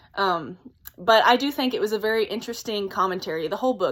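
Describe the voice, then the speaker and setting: On a very clean recording with a silent background, a woman talks at a fairly high pitch with ordinary pitch variation. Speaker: book reviewer. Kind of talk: casual talk to camera. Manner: fast, excited.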